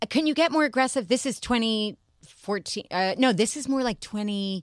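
At a moderate pace, a woman with an American accent speaks in a dry, close sound with no echo on a very clean recording with a silent background. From New York. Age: 60s. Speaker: publicist and former fashion editor. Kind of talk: casual chat.

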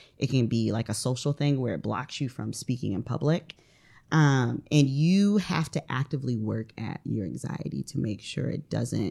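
Very deep, low female voice with a dark, mellow tone, vocal fry, lively intonation and a moderate pace, on a very clean recording with a silent background. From US Midwest, northern Ohio. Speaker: mental health therapist. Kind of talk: casual interview. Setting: studio.

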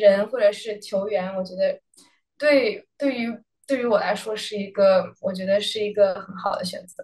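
A woman's fairly high voice, an unremarkable speaking voice, at a moderate pace with ordinary pitch variation. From Beijing, China. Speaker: college tennis player. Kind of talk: interview. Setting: hotel room, remote.

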